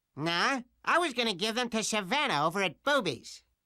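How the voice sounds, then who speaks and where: A man puts on a character voice, high in pitch with very wide pitch swings. He talks at a fairly quick pace. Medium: video game. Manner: blustery, oafish.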